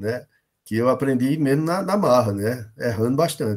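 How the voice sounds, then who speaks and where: A man speaks with lively intonation. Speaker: professor teaching a workshop. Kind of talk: online workshop lecture. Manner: fast.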